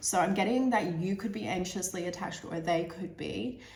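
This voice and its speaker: Against noticeable background noise and audible room echo, a woman speaks at a moderate pace in a fairly low voice. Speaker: tarot reader. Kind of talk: tarot reading monologue. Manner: hesitant, many fillers and repeats.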